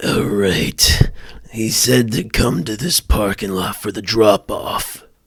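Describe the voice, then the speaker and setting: Using a raspy put-on character voice, a man talks at a fairly slow pace with a medium pitch and lively intonation. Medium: comedy sketch.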